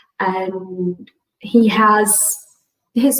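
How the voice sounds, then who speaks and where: A woman is talking. She has a Portuguese accent. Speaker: integrative medicine physician. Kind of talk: conference talk. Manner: halting.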